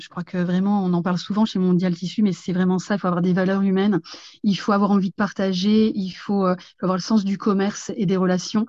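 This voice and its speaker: A woman with a medium pitch and a dark, mellow tone talks at a fairly quick pace in a monotone, flat way over a quiet background. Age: 50s. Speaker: franchise store owner. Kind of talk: interview. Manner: hesitant, many fillers.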